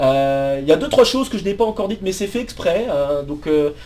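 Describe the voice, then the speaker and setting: A man with a dark, mellow tone and a fairly high pitch. His intonation is lively, and he talks at a moderate pace. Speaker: math PhD student and YouTuber. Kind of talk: personal life story. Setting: office. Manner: hesitant, many fillers and repetitions.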